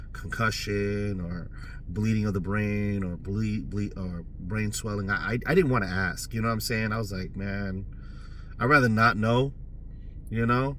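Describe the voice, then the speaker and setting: Against audible room echo, a man speaks at a moderate pace with a fairly low pitch and fairly even intonation. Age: 40s. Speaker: vlogger. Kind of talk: personal testimony. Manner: casual, filler-heavy.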